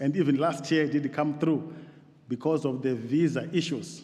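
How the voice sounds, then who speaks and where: Moderate-paced speech with an African accent and audible room echo. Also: man. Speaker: theological college principal. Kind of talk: formal address to church assembly. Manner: halting.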